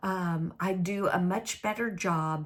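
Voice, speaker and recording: This woman has a Southern US accent and a fairly low pitch. She speaks at a very slow pace. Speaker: crafting video host. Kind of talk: casual crafting chat to camera. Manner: hesitant with many fillers.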